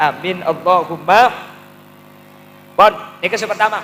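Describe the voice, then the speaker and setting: A high-pitched man with a Madurese accent at a fairly quick pace, over noticeable background noise. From Madura, Indonesia. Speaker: Islamic preacher. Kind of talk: religious sermon. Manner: humorous.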